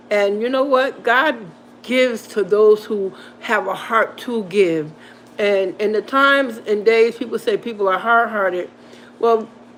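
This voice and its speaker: Over noticeable background noise, a woman speaks at a moderate pace with a fairly high pitch. Her tone is animated, with ordinary pitch variation. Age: 60s. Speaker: motivational channel host. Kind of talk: livestream pep talk. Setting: live stream with chat.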